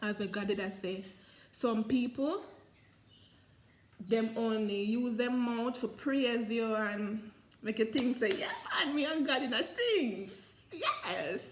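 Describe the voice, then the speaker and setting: Over noticeable background noise, a woman with a Jamaican accent speaks at a very slow pace in a fairly high pitch, with long, frequent pauses. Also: ordinary pitch variation. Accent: Jamaican Patois. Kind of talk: Bible reading and commentary in dialect. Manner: casual, conversational.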